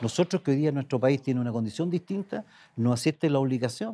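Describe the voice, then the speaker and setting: This man's dark, mellow tone moves through very wide pitch swings. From Chile, Aysén region. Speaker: senator. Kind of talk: political interview. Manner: halting, frequent repetitions. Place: studio. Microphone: lapel.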